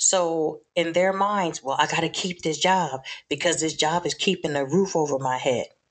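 She is a woman with a normal speaking voice and a fairly low pitch. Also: ordinary pitch variation, moderate pace. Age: 60s. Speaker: Navy veteran and graduate student. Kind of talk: casual chat.

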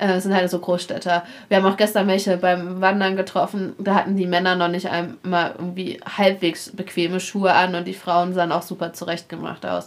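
A woman speaks at a medium pitch and fairly quick pace, her intonation monotone and flat. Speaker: travel podcaster on a cycling trip. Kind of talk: casual chat. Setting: guesthouse in a mountain village.

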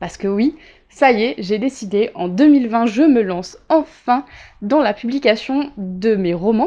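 Speaking at a fairly slow pace, a woman uses a high pitch and lively intonation, her tone dark and mellow. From Réunion island. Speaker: writer and podcast host. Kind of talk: casual solo audio diary.

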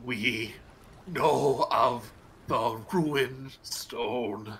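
Putting on a raspy character voice, a man speaks at a medium pitch. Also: ordinary pitch variation. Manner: ominous.

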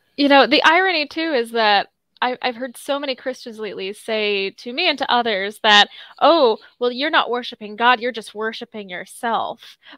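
A woman speaks at a moderate pace in a high, bright, sharp voice with lively intonation, the sound dry and close with no echo. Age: 20s. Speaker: co-host. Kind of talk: casual chat.

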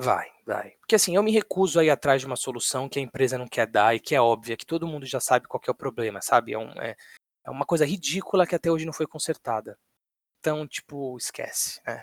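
An unremarkable speaking voice from a man, fairly high in pitch and fairly quick, with lively intonation. The recording is dry and close with no echo. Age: 20s. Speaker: podcast co-host. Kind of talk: casual chat.

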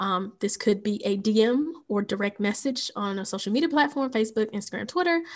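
A woman speaks at a fairly quick pace in an ordinary speaking voice, her pitch fairly high. Her pitch varies in an ordinary way over a quiet background. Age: young. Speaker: podcast co-host. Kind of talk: casual chat.

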